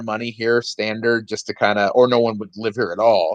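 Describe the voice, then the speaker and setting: A man's medium-pitched voice moves at a moderate speed, his intonation monotone and flat. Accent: American. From US Midwest, northwest Indiana. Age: 30s. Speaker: stand-up comedian. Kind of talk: casual podcast chat.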